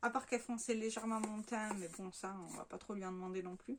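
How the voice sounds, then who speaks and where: A woman talks at a fairly quick pace and fairly high pitch, her pitch varying in an ordinary way, with noticeable background noise behind her. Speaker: beauty vlogger. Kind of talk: casual product review vlog. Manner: chatty with many fillers.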